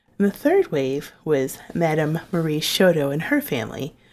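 A woman with a St. Louis accent speaks at a fairly low pitch in a very clean recording with a silent background. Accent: St. Louis Midwestern American. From St. Louis, Missouri (South County). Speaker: history podcast host. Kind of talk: scripted narration.

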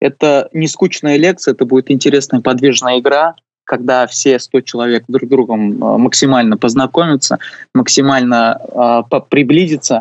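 A man talks at a moderate pace, his fairly high pitch moving with ordinary variation. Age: 20s. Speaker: university administrator and youth urban-planning activist. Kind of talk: radio interview. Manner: hesitant, many filler sounds.

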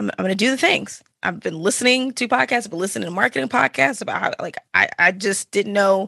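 A woman with an American accent talks at a fairly quick pace, her medium-pitched voice bright and sharp with vocal fry and lively intonation, in a dry, close sound with no echo. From Texas, Dallas-Fort Worth area. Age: 30s. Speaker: podcaster and streamer. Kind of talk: casual interview chat.

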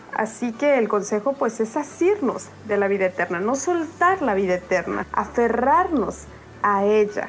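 A woman's fairly high voice with very wide pitch swings, very even loudness, a fairly slow pace and noticeable background noise. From Oaxaca, Mexico. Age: 20s. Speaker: devotional writer. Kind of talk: devotional reflection.

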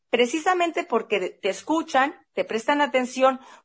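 With lively intonation, a woman delivers her words at a fairly slow pace. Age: 50s. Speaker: podcast host. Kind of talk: casual chat.

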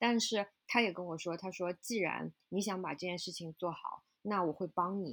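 A woman with a medium pitch and ordinary pitch variation uses an ordinary speaking voice in a very clean recording with a silent background. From China. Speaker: flower shop owner. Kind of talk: interview conversation.

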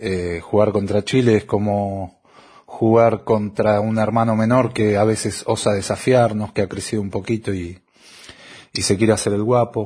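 Against a quiet background, a man speaks at a fairly slow pace in a somewhat breathy, dark, mellow tone with monotone, flat intonation. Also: fairly low pitch for a man. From Argentina. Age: 40s. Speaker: football fan. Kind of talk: recorded testimony.

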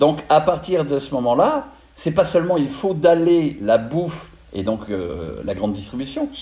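The voice has a dark, mellow tone and vocal fry, moving at a very slow pace. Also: man. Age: 50s. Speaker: spiritual coach. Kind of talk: spiritual monologue. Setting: studio. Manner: halting, many filler sounds.

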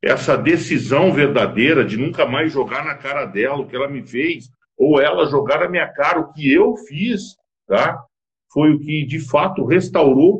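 At a fairly slow pace, a man talks with lively intonation in a somewhat breathy voice. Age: 50s. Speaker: business consultant and marriage counselor. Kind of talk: interview on a live stream.

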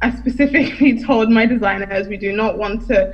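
Here a woman speaks with a British accent. Her pitch is fairly high and her intonation fairly even. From UK, Nigerian heritage. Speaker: entrepreneur and business coach. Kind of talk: interview.

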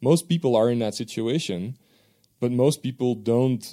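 A man with a Dutch accent speaks at a fairly quick pace in a medium pitch, his tone dark and mellow, his pitch varying in an ordinary way, on a very clean recording with a silent background. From Belgium. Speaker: professor. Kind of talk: interview.

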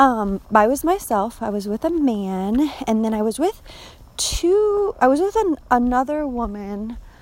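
Using very wide pitch swings, a woman with a high pitch speaks at a fairly slow pace. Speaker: spiritual coach and small business owner. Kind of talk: personal monologue about a dream. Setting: outdoors on a walk. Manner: halting, many fillers.

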